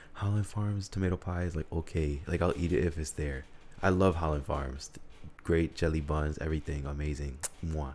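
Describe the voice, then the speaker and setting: A man with an American accent speaks at a moderate pace in a very deep, low pitch that is somewhat breathy, with fairly even intonation. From Utica, New York. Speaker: podcaster. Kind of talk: casual solo monologue.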